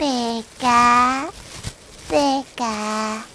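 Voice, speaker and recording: Someone speaks in a put-on character voice over clear background noise. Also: woman, high pitch for a woman. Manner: cheerful, squeaky, happy.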